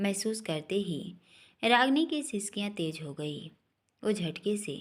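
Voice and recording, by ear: With lively intonation, a speaker is reading aloud in a natural voice against a quiet background.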